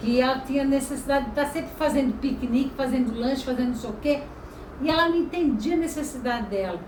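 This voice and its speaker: Fairly quick speech with ordinary pitch variation, audible room echo and noticeable background noise. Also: woman. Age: 60s. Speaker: holistic therapist. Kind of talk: casual talk to camera. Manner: conversational, storytelling.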